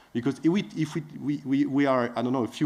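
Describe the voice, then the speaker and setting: The pace here is fairly quick. Pitch variation is ordinary. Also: man. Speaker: biodiversity finance expert. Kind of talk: panel presentation. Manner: fast; halting with many fillers.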